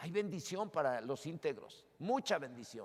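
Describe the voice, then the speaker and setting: A man speaks fairly slowly at a high pitch. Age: 60s. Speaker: pastor. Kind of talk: sermon.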